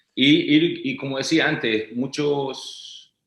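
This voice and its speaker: This man speaks with a Chilean accent. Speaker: orchestral timpanist. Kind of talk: interview answer.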